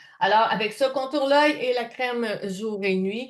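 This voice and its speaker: Speaking in a Quebec accent at a fairly slow pace, a woman uses ordinary pitch variation. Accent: Québécois French. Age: 60s. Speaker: skincare sales consultant. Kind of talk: product presentation. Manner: casual, chatty.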